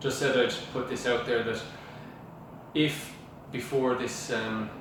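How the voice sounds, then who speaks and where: The intonation is monotone and flat at a moderate pace. Noticeable background noise runs underneath. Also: man. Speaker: estate agent / auctioneer. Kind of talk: casual talk to camera. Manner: hesitant, many filler sounds.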